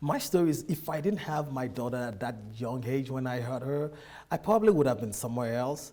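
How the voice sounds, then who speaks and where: A man's medium-pitched, dark, mellow voice with a Nigerian accent, lively intonation and a fairly quick pace. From Nigeria, Lagos. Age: 30s. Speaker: immigrant businessman. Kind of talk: interview.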